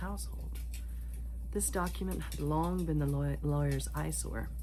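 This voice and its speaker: Whispering and soft-spoken, a woman talks at a moderate pace over noticeable background noise. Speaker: ASMR reader. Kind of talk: ASMR sleep-time book reading. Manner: soft-spoken, whispered.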